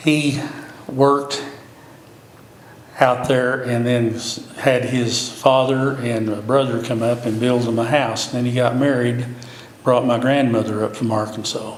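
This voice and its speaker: Amid noticeable background noise and audible room echo, a man at medium pitch speaks at a fairly slow pace with monotone, flat intonation and long, frequent pauses. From Oklahoma, near Cushing. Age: 70s. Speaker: city commissioner candidate. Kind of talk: interview.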